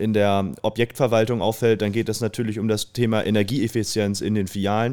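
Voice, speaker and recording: In a very clean recording with a silent background, a man speaks at a moderate pace in a fairly low voice with a dark, mellow tone. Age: 30s. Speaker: family business executive. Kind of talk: interview. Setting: conference venue.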